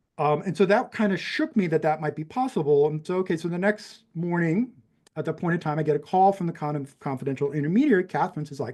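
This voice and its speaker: Talking at a very fast pace, a man with an American accent uses a high pitch and ordinary pitch variation. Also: quiet background. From New Mexico, Albuquerque. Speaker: professor and adoptee. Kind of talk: interview storytelling. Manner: many fillers and restarts.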